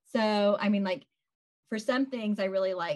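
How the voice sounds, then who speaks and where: This woman has an ordinary speaking voice and keeps a moderate pace. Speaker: social media marketer. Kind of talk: tutorial.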